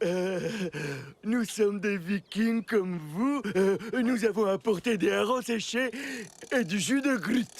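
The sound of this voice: A man's high-pitched, cartoonish character voice at a fairly slow pace, with long, frequent pauses, very even loudness and ordinary pitch variation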